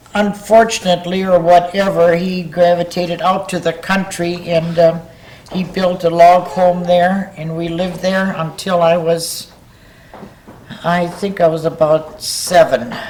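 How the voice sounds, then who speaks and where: Speaking fairly slowly in flat, monotone intonation with an Upper Midwest US accent, the voice comes through over noticeable background noise. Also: woman, fairly low pitch for a woman. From northern Wisconsin. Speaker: local elder interviewee. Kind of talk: oral history interview.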